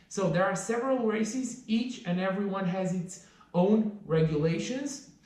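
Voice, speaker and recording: Audible room echo surrounds this man's voice. He speaks at a moderate pace, with a high pitch and ordinary pitch variation. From Romania. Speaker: trail runner and vlogger. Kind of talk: vlog tutorial. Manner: casual, some hesitations.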